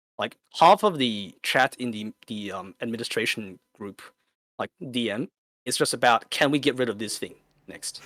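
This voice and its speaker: A man talks with an Australian accent and big swings in loudness. The sound is dry and close with no echo, and his tone is bright and sharp. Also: medium pitch for a man, ordinary pitch variation, moderate pace. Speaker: competitive gamer, clan leader. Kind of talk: podcast interview answer.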